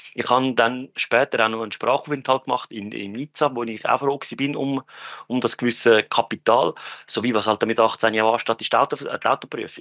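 A man speaks at a moderate pace in a medium pitch. His intonation is fairly even. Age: 30s. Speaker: finance industry worker. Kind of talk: casual chat. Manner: halting.

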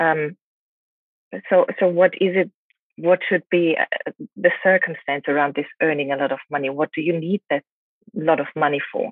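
Speaking with a German accent, a woman with a fairly low-pitched voice keeps a moderate pace, with long, frequent pauses. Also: ordinary pitch variation. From Germany. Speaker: relationship coach. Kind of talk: interview. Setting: hotel room in quarantine.

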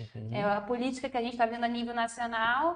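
A woman with fairly even intonation. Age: 20s. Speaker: youth political party leader. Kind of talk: live panel discussion.

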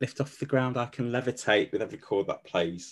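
A man speaks with a slight West Midlands accent. His voice has vocal fry. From Stafford, West Midlands England. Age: 40s. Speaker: coach. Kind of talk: casual chat, personal storytelling.

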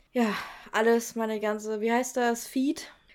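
In a very clean recording with a silent background, a woman talks fairly slowly in an animated tone. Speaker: podcast co-host. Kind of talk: casual chat.

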